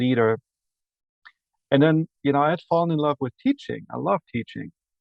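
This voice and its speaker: A man speaks at a moderate pace with an Austrian accent. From Austria, Salzburg. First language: German. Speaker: university administrator. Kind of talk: podcast interview.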